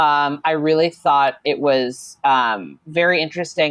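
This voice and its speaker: A woman with a Chicago accent at a fairly slow pace. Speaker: social media manager and RPG writer. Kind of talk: casual interview chat. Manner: animated, many fillers.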